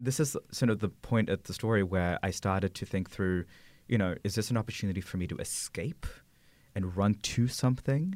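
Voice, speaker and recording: A man with an American accent speaks at a fairly quick pace in a plain, everyday voice. His pitch is fairly low with ordinary variation, on a very clean recording with a silent background. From Philippines, then Sydney, Australia, then Santa Barbara, California. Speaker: corporate brand director. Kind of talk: interview.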